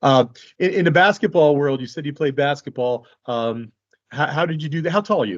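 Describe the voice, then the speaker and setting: This man has an unremarkable speaking voice, pitched fairly high. He talks at a fairly quick pace. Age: 40s. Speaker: fight promotion interviewer. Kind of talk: interview.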